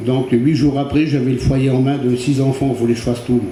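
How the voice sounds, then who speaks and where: A man's flat, monotone delivery at a moderate pace. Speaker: churchgoer giving testimony. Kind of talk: testimony. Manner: halting.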